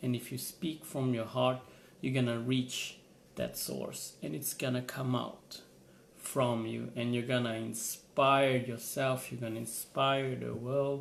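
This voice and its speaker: At a fairly slow pace, a man with a non-native accent talks at medium pitch with fairly even intonation, and room echo is audible. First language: not English. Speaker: motivational vlogger. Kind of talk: motivational vlog monologue. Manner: halting, repeats words.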